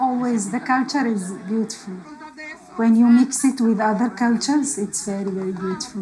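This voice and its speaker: Fairly high-pitched female speech with clearly audible background noise. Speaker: refugee. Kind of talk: documentary interview. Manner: halting.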